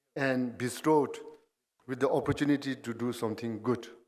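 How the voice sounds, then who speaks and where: A man talks at a moderate pace in a medium pitch, his intonation monotone and flat. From Bhutan. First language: Dzongkha. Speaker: guest speaker. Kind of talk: ceremonial speech. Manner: formal.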